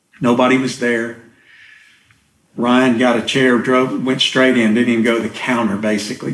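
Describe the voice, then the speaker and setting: Audible room echo surrounds a man's voice. He talks at a medium pitch with fairly even intonation. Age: 60s. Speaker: church member sharing recovery story. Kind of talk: testimony interview.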